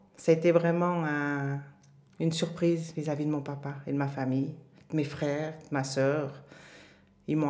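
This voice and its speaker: In a room with audible echo, a woman speaks with a very deep, low pitch. Her tone is dark and mellow, her intonation monotone and flat. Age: 50s. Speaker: mother sharing her life story. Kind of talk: interview testimony.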